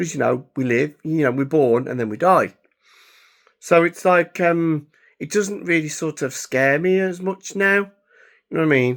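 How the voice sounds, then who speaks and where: A man with an English accent, fairly high in pitch, at a moderate pace with ordinary pitch variation, in a very clean recording with a silent background. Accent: English (England). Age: 30s. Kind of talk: casual vlog monologue. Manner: halting, with many fillers.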